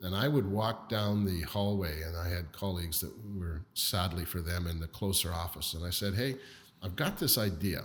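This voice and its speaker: With a Canadian accent, a man speaks at a moderate pace in a very deep, low, somewhat breathy voice with ordinary pitch variation. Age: 60s. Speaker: business leader. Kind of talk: interview.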